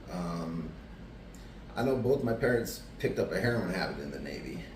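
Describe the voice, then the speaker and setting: Amid audible room echo, a man with an American accent speaks at a fairly quick pace. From Arizona, Tucson. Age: 40s. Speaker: person in addiction recovery. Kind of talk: interview testimony. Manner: casual, many fillers.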